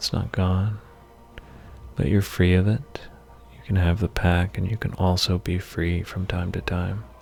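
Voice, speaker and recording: With music in the background, a man with a very deep, low voice speaks in a soothing, calm tone. He goes at a fairly slow pace with long, frequent pauses. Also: ordinary pitch variation. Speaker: podcast host and therapist giving a guided meditation. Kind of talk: hypnotic guided meditation narration, second person imagery. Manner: soothing, slow, calm.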